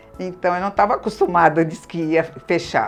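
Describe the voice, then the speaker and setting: A woman's voice with music in the background. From Brazil, São Paulo. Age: 80s+. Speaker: senior course participant. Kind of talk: interview.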